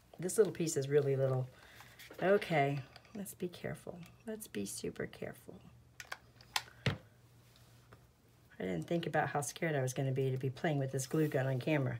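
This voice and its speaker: Soft-spoken and very deep in pitch, a woman talks at a fairly quick pace with lively intonation and long, frequent pauses. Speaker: crafting youtuber. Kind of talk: tutorial.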